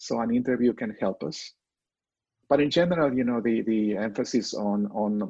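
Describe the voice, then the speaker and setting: A man speaks with a Mexican accent at a medium pitch and a moderate pace. His pitch varies in an ordinary way, and the background is quiet. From northern Mexico. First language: Spanish. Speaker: professor. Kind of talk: interview. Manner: halting.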